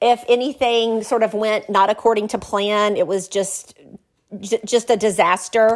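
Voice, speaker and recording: Fairly slow, monotone, flat speech from a woman with a fairly high pitch and a Southern US accent, on a very clean recording with a silent background. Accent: Southern US (Georgia). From US South, small-town south Georgia. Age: 50s. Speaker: attorney and wealth management professional. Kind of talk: casual interview.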